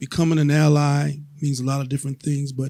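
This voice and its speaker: Somewhat breathy and dark, mellow in tone, a man talks at a fairly quick pace with a fairly high pitch. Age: 70s. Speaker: panelist. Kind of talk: panel discussion.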